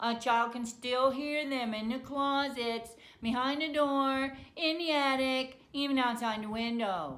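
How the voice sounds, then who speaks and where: A woman's put-on character voice, high-pitched and nasal, fairly slow with hardly any pauses, with audible echo. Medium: read story. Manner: monotone, droning.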